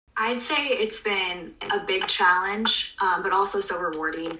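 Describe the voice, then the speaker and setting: A woman with ordinary pitch variation, audible room echo and noticeable background noise. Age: 20s. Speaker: public health student, contact tracer. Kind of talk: interview.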